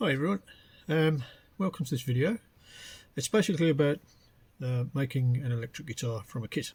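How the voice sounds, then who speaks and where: Speaking at a fairly quick pace, a man sounds somewhat breathy and takes long, frequent pauses. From West Midlands of England. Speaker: hobbyist guitar builder. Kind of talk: casual DIY talk to camera. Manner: hesitant, conversational.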